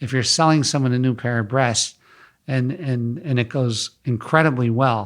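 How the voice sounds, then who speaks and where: The recording is very clean, with a silent background. A man with an ordinary speaking voice speaks at a medium pitch. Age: 50s. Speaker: wellness center founder. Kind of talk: interview.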